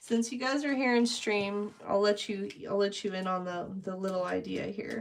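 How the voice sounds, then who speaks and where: Quiet and medium-pitched, a woman speaks at a moderate pace with ordinary pitch variation amid noticeable background noise. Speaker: painting livestreamer. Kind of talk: casual livestream chat. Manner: trying to talk quieter.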